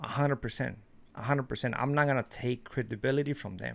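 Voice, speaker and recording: This man speaks with a Mexican accent. His pace is fairly quick. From Mexico. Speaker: YouTuber, commentary. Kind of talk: casual vlog commentary.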